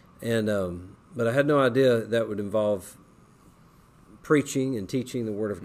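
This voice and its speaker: A man speaks in a plain, everyday voice with medium pitch at a moderate pace. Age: 40s. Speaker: Bible college administrator. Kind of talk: interview testimony.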